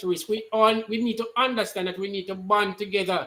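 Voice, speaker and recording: A man talks at a fairly quick pace. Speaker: party activist. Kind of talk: online talk show discussion.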